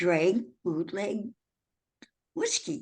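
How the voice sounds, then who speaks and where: A woman is speaking. Her voice carries vocal fry. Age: 80s+. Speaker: author. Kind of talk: interview answer.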